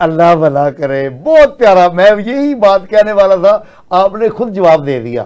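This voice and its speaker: A man with a high-pitched voice speaks with hardly any pauses. His pitch swings very widely. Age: 60s. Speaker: talk show anchor. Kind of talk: political talk show discussion.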